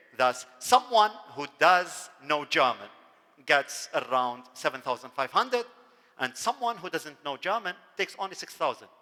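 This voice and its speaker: A man speaks with an Arabic accent in a bright, sharp tone. His pitch swings very widely at a moderate pace. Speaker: university dean. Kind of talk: lecture.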